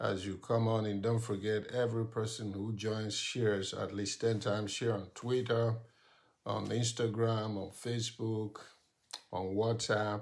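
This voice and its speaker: A man's fairly low, monotone, flat voice at a fairly slow pace over a quiet background. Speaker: pastor. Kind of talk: live stream prayer and sermon. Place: home room. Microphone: phone near.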